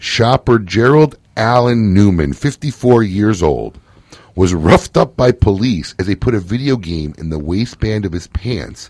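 The speaker has an animated tone and lively intonation at a moderate pace. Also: man. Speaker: radio show host. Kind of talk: casual chat. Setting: studio.

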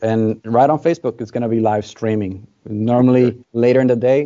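In a Spanish accent, a man with medium pitch talks very fast with fairly even intonation. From Dominican Republic. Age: 20s. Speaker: cigar brand ambassador. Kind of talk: casual interview.

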